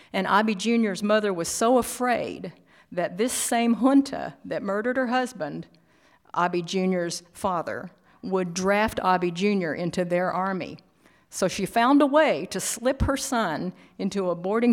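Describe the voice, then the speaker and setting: A woman with a plain, everyday voice speaks at medium pitch with ordinary pitch variation. The recording is very clean, with a silent background. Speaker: artist and keynote speaker. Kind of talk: keynote presentation. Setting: stage with audience.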